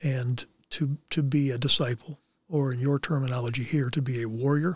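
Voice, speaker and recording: A somewhat breathy voice with an American accent. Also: man. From Anderson, Indiana. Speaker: former NFL player. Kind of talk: casual chat. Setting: studio.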